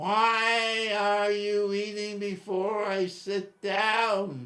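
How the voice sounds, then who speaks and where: A man puts on a shrill character voice at a high pitch. He speaks at a very slow pace with fairly even intonation. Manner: scolding.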